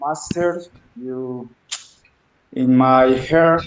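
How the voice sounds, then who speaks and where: In a Spanish accent, a man speaks at a fairly high pitch with ordinary pitch variation. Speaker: aikido student. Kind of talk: thank-you speech. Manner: halting.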